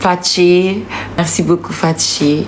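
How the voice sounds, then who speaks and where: Speech comes at a very slow pace with audible room echo and noticeable background noise. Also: woman. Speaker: singer. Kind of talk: casual live video thanking supporters.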